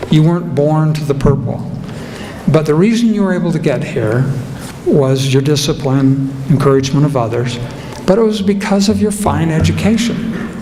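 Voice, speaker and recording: Speaking with an American accent at a moderate pace, a man with a fairly high pitch and lively intonation is heard with audible room echo and noticeable background noise. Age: old. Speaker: keynote speaker, former lawyer. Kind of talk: ceremony speech.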